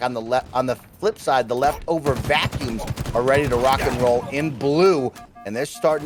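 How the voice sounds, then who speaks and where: Music plays in the background. Over it, a man speaks at a medium pitch. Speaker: esports shoutcaster. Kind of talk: esports shoutcast commentary.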